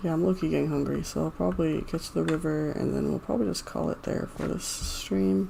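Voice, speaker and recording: A woman talks very fast and quietly, with hardly any pauses. Her very deep, low voice swings very widely in pitch. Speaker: gaming streamer. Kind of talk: live gameplay commentary. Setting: live stream. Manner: quiet, low-key.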